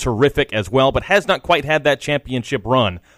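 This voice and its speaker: A man with an unremarkable speaking voice and medium pitch talks at a moderate pace, in a very clean recording with a silent background and a dry, close sound with no echo. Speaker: play-by-play commentator. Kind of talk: live commentary. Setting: stadium broadcast booth.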